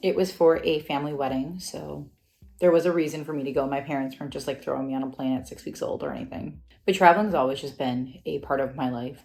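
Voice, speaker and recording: This woman speaks at a fairly quick pace in a very deep, low voice with ordinary pitch variation. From US Midwest, Wisconsin. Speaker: travel vlogger. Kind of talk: casual unscripted vlog monologue. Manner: fast; chatty, conversational.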